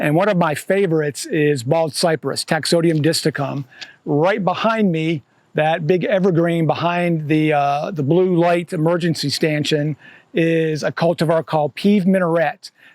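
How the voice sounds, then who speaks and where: A man talks in a plain, everyday voice at a moderate pace with fairly even intonation, the sound dry and close with no echo. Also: fairly high pitch for a man, very even loudness. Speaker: horticulturist leading a garden tour. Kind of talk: guided walking tour talk. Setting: outdoors in a garden with a group. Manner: casual, many fillers.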